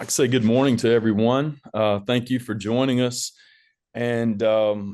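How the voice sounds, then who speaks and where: A man's medium-pitched voice with a Southern US accent, fairly even intonation and a moderate pace. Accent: Southern twang. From US South, northeast Alabama (rural). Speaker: school administrator. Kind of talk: webinar presentation.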